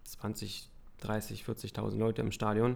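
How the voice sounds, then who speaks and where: Vocal fry from a man with a fairly low pitch. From Brandenburg, eastern Germany. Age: 30s. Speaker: retired speedway racer and youth coach. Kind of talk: casual interview.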